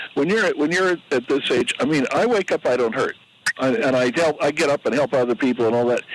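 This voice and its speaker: Over noticeable background noise, a man speaks very fast with lively intonation and very even loudness. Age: 80s+. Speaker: caller. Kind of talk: casual chat. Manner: halting.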